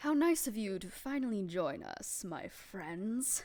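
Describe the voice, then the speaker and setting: A woman uses a put-on character voice. She speaks at a fairly slow pace with a fairly high pitch. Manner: sinister, mockingly polite.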